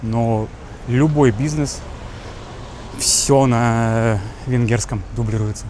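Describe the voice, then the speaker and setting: A man's medium-pitched voice with ordinary pitch variation, noticeable background noise behind it. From Russia. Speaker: travel vlogger. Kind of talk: casual walking vlog. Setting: outdoors walking in city. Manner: animated.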